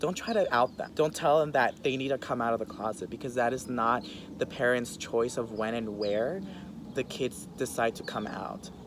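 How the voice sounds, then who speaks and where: Here is a man with an ordinary speaking voice. His pitch is medium, his pace moderate, and his pitch varies in an ordinary way. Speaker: interview guest sharing personal story. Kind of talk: interview.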